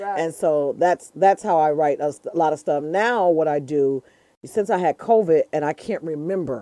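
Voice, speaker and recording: An American-accented woman with a very deep, low pitch and a dark, mellow tone speaks with ordinary pitch variation over a quiet background, in a dry, close sound with no echo. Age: 50s. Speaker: comedian.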